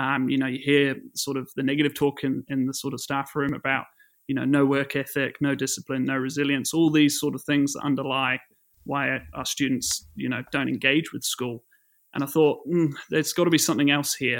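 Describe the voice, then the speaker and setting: Fairly high-pitched for a man, this New Zealand accent comes through at a fairly quick pace with monotone, flat intonation on a very clean recording with a silent background. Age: 20s. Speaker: secondary school science teacher. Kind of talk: casual interview. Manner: hesitant, many fillers.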